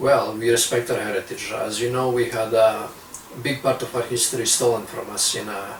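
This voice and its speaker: A man at a medium pitch speaks in a monotone, flat way, with audible room echo and noticeable background noise. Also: moderate pace. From Serbia, near Romanian border. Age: 20s. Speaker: young political activist. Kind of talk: interview.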